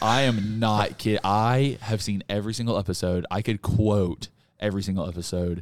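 A plain, everyday voice, a man's, fairly low in pitch with fairly even intonation, comes through in a very clean recording with a silent background. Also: moderate pace. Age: 20s. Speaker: video editor and filmmaker. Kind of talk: casual chat.

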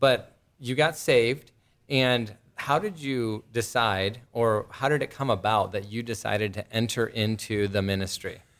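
A man's unremarkable speaking voice, medium in pitch, with ordinary pitch variation and a fairly slow pace, on a very clean recording with a silent background. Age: 30s. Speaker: podcast host, Bible teacher. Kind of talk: casual interview.

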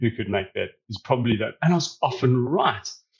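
A man's medium-pitched voice in a South African accent with lively intonation. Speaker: data service founder. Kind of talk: interview. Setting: video call from Australia.

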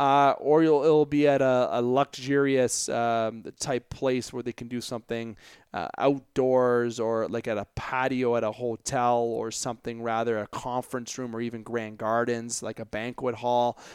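In an Ontario accent, a man of medium pitch talks at a moderate pace with hardly any pauses. The sound is dry and close with no echo, on a very clean recording with a silent background. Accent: Canadian (Ontario). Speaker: sports podcast host. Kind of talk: solo sports commentary podcast. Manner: animated.

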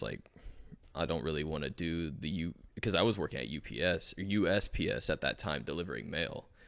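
On a very clean recording with a silent background, a man with an American accent speaks at a moderate pace, his very deep, low voice showing vocal fry. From South Florida. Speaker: musician. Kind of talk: casual chat.

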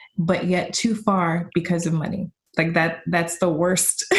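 A woman with an unremarkable speaking voice talks at a fairly slow pace and a medium pitch. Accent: American. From Ohio, US Midwest. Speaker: dancer, choreographer and professor. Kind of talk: interview.

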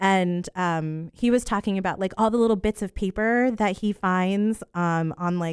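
In an American accent, a woman with an ordinary speaking voice talks at a moderate pace and medium pitch for a woman, her intonation lively, the sound dry and close with no echo on a very clean recording with a silent background. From Central Florida. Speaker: museum educator. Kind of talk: casual radio interview.

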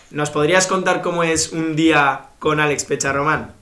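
A man with a fairly high voice speaks at a moderate pace with fairly even intonation. There is audible room echo and noticeable background noise. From Bilbao, Spain. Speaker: podcast host. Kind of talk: casual chat.

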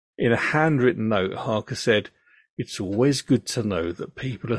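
The sound is dry and close, with no echo. A man talks at a medium pitch, somewhat breathy. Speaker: podcast host and storyteller. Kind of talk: true-crime narration, telling the story to his daughter. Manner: measured, serious and matter-of-fact.

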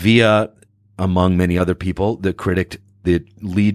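A man with an American accent, very deep and low in pitch, in a dry, close sound with no echo. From Northern California (Sacramento). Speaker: actor. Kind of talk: interview. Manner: halting, many fillers.

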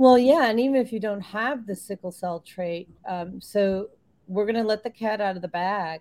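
A woman's medium pitch with an American accent, ordinary pitch variation and a moderate pace. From US Midwest, Illinois. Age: 50s. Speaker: radio show host, nutrition. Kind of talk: casual interview chat.

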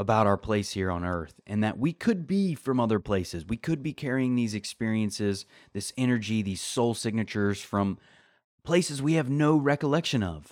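A man talks in an unremarkable speaking voice at a medium pitch. His pace is moderate and his intonation lively. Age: 30s. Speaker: podcast host. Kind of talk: solo self-help monologue.

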